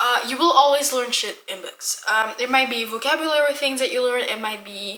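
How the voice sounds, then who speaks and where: In a Dutch accent, a woman speaks at a high pitch in a raised, projected voice. Her pace is moderate and her pitch varies in an ordinary way. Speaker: book vlogger. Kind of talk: casual vlog monologue. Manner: casual, with many fillers.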